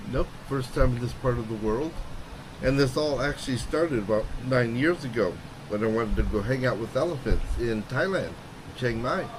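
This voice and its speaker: A man with an American accent talks at a moderate pace and medium pitch. Noticeable background noise and audible room echo fill the recording. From US Midwest, Chicago. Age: 60s. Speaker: retired American expat, ex-military. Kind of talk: casual interview.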